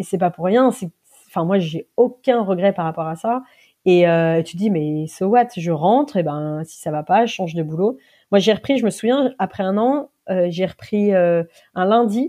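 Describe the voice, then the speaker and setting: Against a quiet background, a woman with a medium pitch speaks fairly slowly with lively intonation. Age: 40s. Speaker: association founder, former media engineer. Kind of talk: interview. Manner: hesitant, many fillers.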